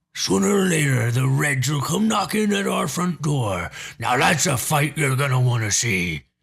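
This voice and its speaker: At a moderate pace and a medium pitch, a man talks in a put-on character voice. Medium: read story. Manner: gruff, blunt, colloquial.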